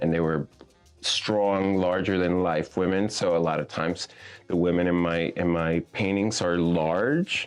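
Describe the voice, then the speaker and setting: With a Spanish accent and music in the background, a man speaks fairly slowly in a very deep, low voice with fairly even intonation. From Puerto Rico. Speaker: visual artist. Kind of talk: interview.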